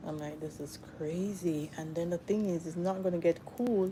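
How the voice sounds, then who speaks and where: Soft-spoken and fairly slow, a woman talks in a dark, mellow tone with fairly even intonation. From Jamaica. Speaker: hair and lifestyle livestreamer. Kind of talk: casual livestream chat. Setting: live stream.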